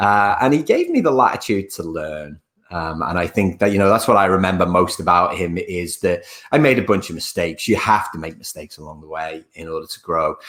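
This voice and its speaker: A man with a very deep, low voice talks at a fairly quick pace, his intonation lively and his loudness swinging widely. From northern England, Liverpool. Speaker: leadership speaker and author. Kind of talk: webinar presentation. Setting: online webinar.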